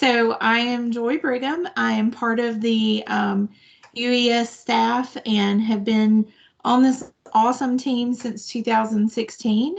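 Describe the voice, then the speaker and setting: A woman speaks in a Southern US accent at a very slow pace. Her intonation stays fairly even. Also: fairly high pitch for a woman. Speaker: nonprofit staff presenter. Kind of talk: virtual presentation.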